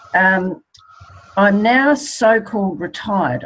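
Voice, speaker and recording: A woman speaks with noticeable noise in the background. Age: 60s. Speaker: network marketing distributor. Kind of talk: testimony.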